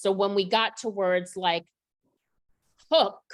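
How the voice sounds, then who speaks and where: A woman speaks in a normal speaking voice at medium pitch. Her pace is fairly slow, and the recording is very clean with a silent background. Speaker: literacy educator. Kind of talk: professional development presentation.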